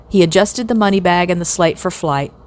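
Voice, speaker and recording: An ordinary speaking voice from a woman, fairly low in pitch, at a moderate pace. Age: 60s. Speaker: storyteller. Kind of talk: children's novel read aloud.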